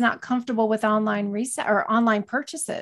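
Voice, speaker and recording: A woman with a fairly high pitch speaks at a fairly quick pace in an unremarkable speaking voice, with ordinary pitch variation, on a very clean recording with a silent background. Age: 40s. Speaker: entrepreneur and online reseller. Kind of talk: interview.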